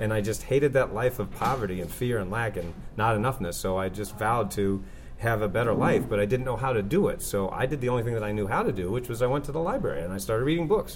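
Speaking at a very fast pace, a man sounds somewhat breathy against audible room echo. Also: medium pitch for a man, ordinary pitch variation. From Maine, New England. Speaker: author and success coach. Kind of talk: interview.

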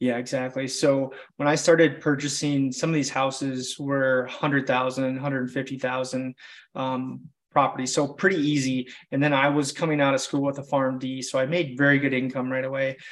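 A man's flat, monotone voice at medium pitch with an American accent, fairly quick in pace, in a very clean recording with a silent background. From Wisconsin, small town. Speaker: real estate investor and pharmacist. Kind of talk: casual interview chat.

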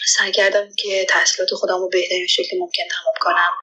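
A woman talking at a very fast pace. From Iran (Afghan immigrant family). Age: 20s. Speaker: doctoral student. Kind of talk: interview testimony.

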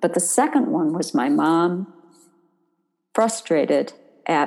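A woman talks at a very slow pace with very wide pitch swings. Her fairly low voice carries vocal fry. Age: old. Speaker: occupational therapist and author. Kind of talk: interview, explaining.

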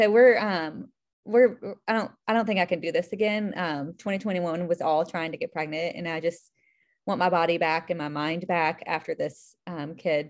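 In an American accent, a woman talks at a moderate pace and a fairly low pitch, with ordinary pitch variation and an ordinary speaking voice. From US South (Charlotte, North Carolina). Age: 30s. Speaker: IVF patient sharing her story. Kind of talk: casual interview, personal story.

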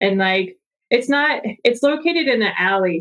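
Using an ordinary speaking voice, a woman with an American accent talks at a moderate pace and a fairly high pitch. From US South. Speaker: real estate investor. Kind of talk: casual chat.

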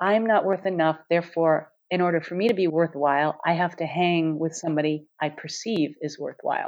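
This woman has an ordinary speaking voice and an American accent, pitched fairly low. She talks at a moderate pace with fairly even intonation against a quiet background. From US, New York City. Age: 60s. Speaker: former engineer, author and speaker. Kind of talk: interview.

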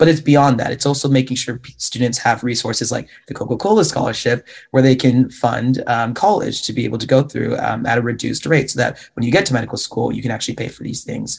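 Rushing at a very fast pace with hardly any pauses, a man with an American accent speaks at a medium pitch with vocal fry and ordinary pitch variation. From Washington State, US. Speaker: medical student and social media health educator. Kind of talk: panel discussion.

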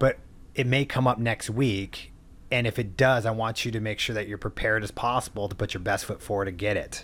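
Speaking with a Californian accent, a man of medium pitch moves at a fairly quick pace. His recording is very clean, with a silent background. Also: fairly even intonation. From US West Coast, San Diego. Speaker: mortgage lender. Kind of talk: interview.

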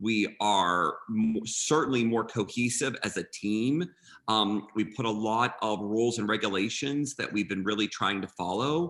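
Ordinary pitch variation marks an unremarkable speaking voice that proceeds at a fairly slow pace. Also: man, fairly low pitch for a man. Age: 50s. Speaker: event designer and florist. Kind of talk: interview.

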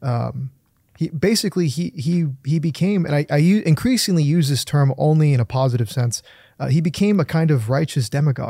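A man speaks at a fairly quick pace in a fairly high pitch, with a dark, mellow tone, a somewhat breathy quality and very even loudness, on a very clean recording with a silent background. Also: ordinary pitch variation. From California. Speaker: political writer and commentator. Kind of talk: political interview.

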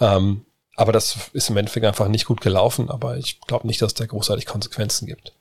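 A man speaks very fast at medium pitch. His voice is somewhat breathy and his intonation fairly even. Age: middle-aged. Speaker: podcast host. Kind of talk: casual Q&A chat.

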